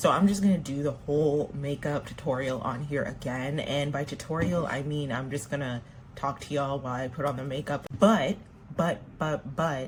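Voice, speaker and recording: A woman with an American accent and a very deep, low pitch, at a moderate pace with ordinary pitch variation, over noticeable background noise. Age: 30s. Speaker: makeup vlogger. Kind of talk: casual chat while doing makeup.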